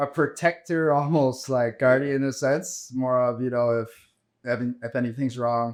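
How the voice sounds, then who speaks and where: Moving at a moderate pace, a man's medium-pitched voice is an unremarkable speaking voice with fairly even intonation. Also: quiet background. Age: 30s. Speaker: entrepreneur and blockchain educator. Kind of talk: casual interview.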